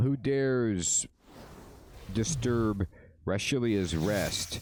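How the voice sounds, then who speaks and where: Doing a booming put-on character voice, a man speaks at a very slow pace and medium pitch. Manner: menacing.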